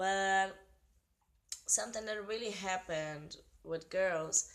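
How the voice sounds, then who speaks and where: Speaking at a very slow pace in a Portuguese accent, a woman keeps a medium pitch with ordinary pitch variation. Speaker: vlogger. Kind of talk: casual explanation. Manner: halting.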